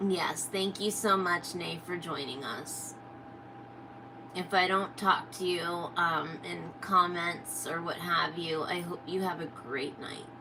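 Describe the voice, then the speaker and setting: A woman speaks very slowly at a fairly low pitch with fairly even intonation, over noticeable background noise and audible room echo. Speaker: reptile keeper streamer. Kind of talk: casual live stream chat. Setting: live stream. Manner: occasional stutter, words come out backwards; hesitant, many fillers.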